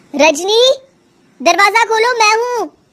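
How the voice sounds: A woman speaks in a cartoonish character voice, her pitch extremely high and her intonation lively.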